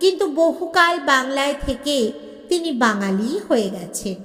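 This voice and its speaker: Using a put-on character voice, a woman speaks at a very slow pace in a high, hoarse, wheezy voice. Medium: read story. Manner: breathless, old-fashioned, deferential.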